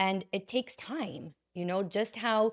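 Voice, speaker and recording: Over a very clean recording and silent background, a woman with a plain, everyday voice talks at a fairly slow pace with ordinary pitch variation. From Canada, Vaughan Ontario. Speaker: healing coach and podcaster. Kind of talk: interview conversation.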